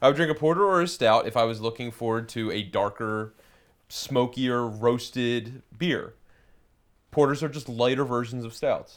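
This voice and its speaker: A normal speaking voice at a moderate pace, with ordinary pitch variation. The recording is very clean, with a silent background. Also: man, medium pitch for a man. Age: 20s. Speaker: beer podcast co-host. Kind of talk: casual chat.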